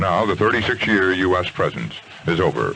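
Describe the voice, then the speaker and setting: The background carries noticeable noise. A man speaks over it at a fairly quick pace. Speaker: radio news anchor. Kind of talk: radio newscast read.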